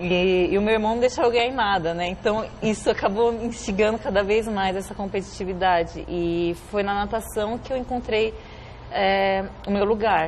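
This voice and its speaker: Speaking at a moderate pace, a woman has a normal speaking voice, medium in pitch, with ordinary pitch variation. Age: 30s. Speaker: Olympic swimmer. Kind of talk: TV interview.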